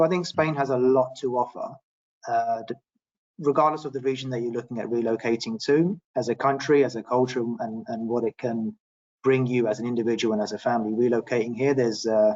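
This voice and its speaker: Here a man talks with a British accent at medium pitch. His pace is fairly quick and his intonation fairly even. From London, England. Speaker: property expert. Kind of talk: webinar panel discussion.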